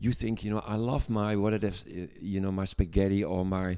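With a Dutch accent, a man speaks at a fairly low pitch in a dark, mellow tone. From Netherlands. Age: 60s. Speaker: gynecologist and medical lecturer. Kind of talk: casual interview chat.

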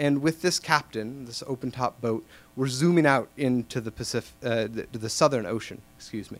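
A man in a normal speaking voice, medium pitch and ordinary pitch variation at a moderate pace, on a very clean recording with a silent background. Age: 30s. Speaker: storyteller, journalist. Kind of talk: live storytelling. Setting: stage with audience.

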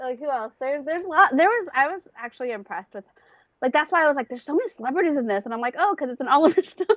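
A high-pitched woman with an American accent, at a very fast pace. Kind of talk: casual chat.

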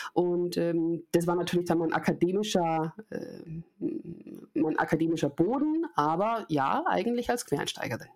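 The woman here has an unremarkable speaking voice at a fairly low pitch. She moves at a fairly slow pace with ordinary pitch variation. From Munich, Bavaria. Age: 30s. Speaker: learning and development consultant, former TV presenter. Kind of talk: podcast interview.

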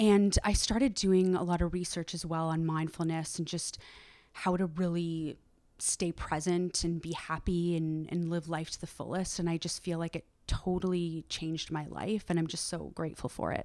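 A woman's fairly low, dark, mellow voice with a Canadian accent, monotone and flat at a moderate pace, on a very clean recording with a silent background. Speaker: yoga instructor and founder. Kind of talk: casual interview chat.

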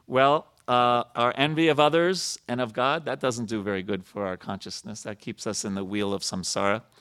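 A man with an American accent has a plain, everyday voice at medium pitch. His intonation is lively, his pace moderate, and the recording very clean with a silent background. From New York. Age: 50s. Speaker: temple president and spiritual speaker. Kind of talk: sermon. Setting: temple with audience.

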